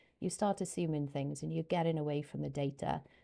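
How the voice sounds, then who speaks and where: A woman with a Welsh accent, talking at a fairly quick pace. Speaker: YouTuber and English teacher. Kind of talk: casual personal explanation to camera. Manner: hesitant, many fillers.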